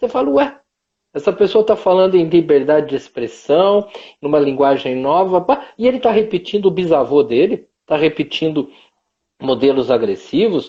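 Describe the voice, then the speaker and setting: Pitch swings very widely throughout. The delivery keeps a moderate pace. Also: man. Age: 60s. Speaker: professor. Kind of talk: casual chat.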